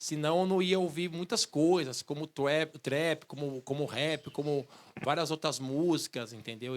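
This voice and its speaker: Using a plain, everyday voice, a man talks at a fairly slow pace and fairly high pitch, with ordinary pitch variation. The sound is dry and close with no echo, in a very clean recording with a silent background. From São Paulo, east zone. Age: 40s. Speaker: musician and researcher. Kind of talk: public talk, conversational. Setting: outdoor bandstand with audience.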